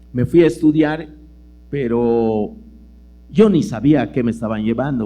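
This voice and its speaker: A man with a Yucatán accent speaks at medium pitch and a moderate pace, his dark, mellow tone carrying vocal fry and lively intonation, with audible room echo around him. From Yucatán peninsula, Mexico. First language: Yucatec Maya (speaking Spanish). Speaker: lecturer and writer. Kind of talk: lecture. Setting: auditorium with audience. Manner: conversational with many fillers.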